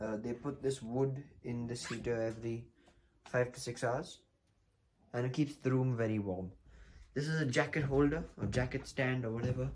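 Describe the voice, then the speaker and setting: A man speaks at a moderate pace in a somewhat breathy voice with fairly even intonation, taking long, frequent pauses over light background noise. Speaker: travel vlogger. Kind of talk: casual vlog chat. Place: home room. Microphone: phone near.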